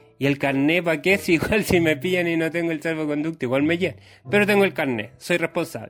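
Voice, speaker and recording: Talking at a very fast pace, a man with a Chilean accent sounds animated. His pitch is fairly high, with ordinary pitch variation. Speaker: comedian podcaster. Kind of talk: comedic monologue.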